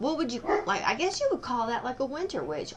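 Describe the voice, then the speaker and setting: A woman speaks in a raised, projected voice. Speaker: tarot reader. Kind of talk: tarot reading. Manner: casual, meandering.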